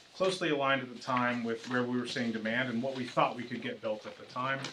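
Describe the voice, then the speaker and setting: Medium-pitched male voice with ordinary pitch variation and audible room echo. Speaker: real estate developer representative. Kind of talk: presentation to town council. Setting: council meeting. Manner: halting, many fillers and restarts.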